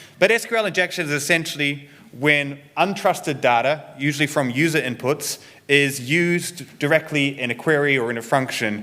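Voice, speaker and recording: At a moderate pace, a man with a New Zealand accent speaks in a bright, sharp tone at a fairly high pitch. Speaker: security researcher and developer advocate. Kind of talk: conference talk.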